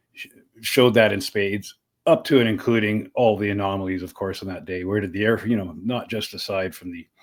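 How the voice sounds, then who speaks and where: Speaking fairly quickly with a western Canadian accent, a man uses a fairly low pitch and big swings in loudness. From Canada, Saskatchewan (Saskatoon). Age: 60s. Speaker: podcaster and activist. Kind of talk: interview conversation. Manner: animated, with frequent repetitions and fillers.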